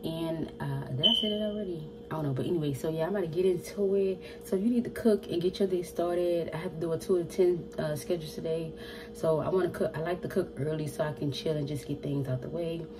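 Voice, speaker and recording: Clear background noise accompanies a woman who rattles off her words very fast. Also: fairly low pitch for a woman, ordinary pitch variation. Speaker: home cooking vlogger. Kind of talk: casual vlog chat. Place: kitchen. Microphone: phone near.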